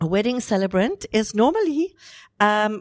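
A woman with a South African accent and lively intonation, in a very clean, dry, close recording with a silent background and no echo. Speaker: wedding celebrant and inspirational speaker. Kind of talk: interview, personal testimony. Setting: hotel venue recording.

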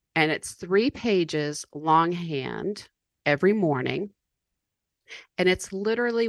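An American accent at a very slow pace, with a quiet background and a dry, close sound with no echo. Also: woman. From US South, mountains of North Carolina. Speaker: author and business coach. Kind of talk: podcast interview.

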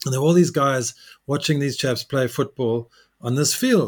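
A man with a normal speaking voice, pitched fairly high, talks at a moderate speed and varies his pitch in an ordinary way. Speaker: podcast host. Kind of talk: casual interview. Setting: remote interview.

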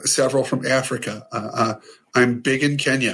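In an American accent, a man speaks at a fairly slow pace and medium pitch with monotone, flat intonation. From US Midwest, small-town Ohio. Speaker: HR professional and author. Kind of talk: casual podcast interview.

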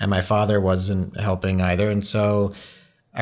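A normal speaking voice from a man, moderate in pace and fairly low in pitch. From moved around the US (born in Hawaii). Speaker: photographer. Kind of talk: interview.

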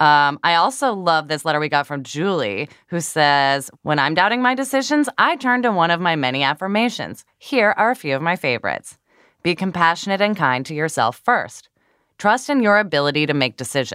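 A woman speaks at a moderate pace in a fairly low pitch. Her pitch swings very widely. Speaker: podcast host. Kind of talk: casual chat.

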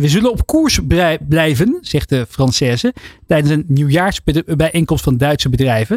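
A man with an unremarkable speaking voice, fairly high in pitch, talks at a moderate pace with lively intonation in a dry, close sound with no echo. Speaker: radio host. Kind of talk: radio talk show. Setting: studio.

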